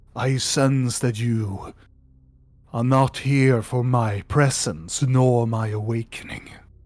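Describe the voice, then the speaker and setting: A man puts on a character voice with a solemn tone at a medium pitch. He speaks at a very slow pace. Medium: actual play. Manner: slow, solemn, archaic.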